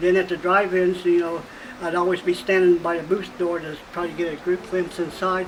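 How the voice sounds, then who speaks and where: A man talks at a very fast pace in a high pitch. Noticeable background noise runs behind him. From US Midwest, Indiana. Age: 60s. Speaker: retired projectionist. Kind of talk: documentary interview.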